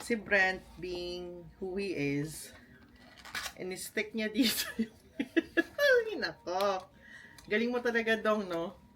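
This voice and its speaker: Lively intonation from a woman at medium pitch, speaking at a very slow pace. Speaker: vlogger. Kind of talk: casual vlog unboxing. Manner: animated.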